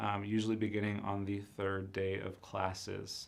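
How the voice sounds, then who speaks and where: Fairly slow, monotone, flat delivery from a man with a fairly low pitch, with audible room echo. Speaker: university enrollment counselor. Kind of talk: live-streamed informational presentation. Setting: live stream.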